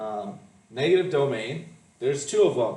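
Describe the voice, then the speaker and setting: A fairly high-pitched male voice at a moderate pace, with audible room echo and noticeable background noise. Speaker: math teacher. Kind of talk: lecture.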